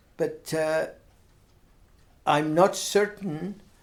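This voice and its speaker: Speaking is a man with a Herefordshire accent. His pitch varies in an ordinary way. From Herefordshire, England. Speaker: retired blacksmith. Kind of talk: oral history interview answer.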